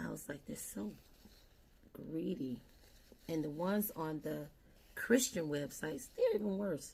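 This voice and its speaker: Using vocal fry and a very deep, low pitch, a woman speaks at a fairly slow pace with very wide pitch swings and long, frequent pauses. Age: 60s. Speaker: beauty vlogger. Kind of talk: casual makeup tutorial chat. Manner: conversational.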